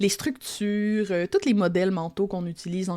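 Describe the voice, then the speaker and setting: In a Quebec accent, a woman speaks at a moderate pace with a medium pitch and a dark, mellow tone. Her intonation is fairly even, and the recording is very clean with a silent background. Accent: Québécois, reclaimed. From Quebec, Lac-Saint-Jean. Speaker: copywriter and teacher. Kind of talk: podcast interview. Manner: casual, many fillers.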